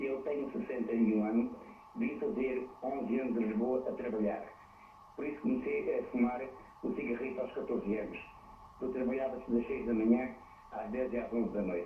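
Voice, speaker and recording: Amid noticeable background noise and audible room echo, a medium-pitched man speaks at a moderate pace with lively intonation and long, frequent pauses. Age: 60s. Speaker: caller, hotel worker. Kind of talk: phone-in call to TV program. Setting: phone call.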